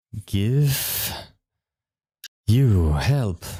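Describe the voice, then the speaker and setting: This man uses a put-on character voice at a medium pitch. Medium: actual play. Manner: halting, broken speech.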